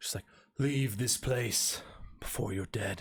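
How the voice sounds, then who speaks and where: Put-on character voice from a man, medium-pitched and fairly slow. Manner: menacing.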